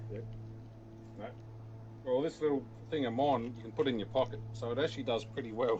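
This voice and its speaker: A man with a strong Australian accent and a medium pitch talks at a fairly quick pace, with fairly even intonation. He leaves long, frequent pauses. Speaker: stream moderator. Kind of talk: casual chat. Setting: voice comms during live stream.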